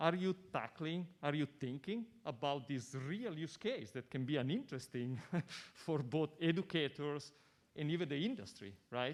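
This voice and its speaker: A man's fairly high voice with an Italian accent and lively intonation. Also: moderate pace. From Italy. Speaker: audience member asking question. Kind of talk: audience question at panel.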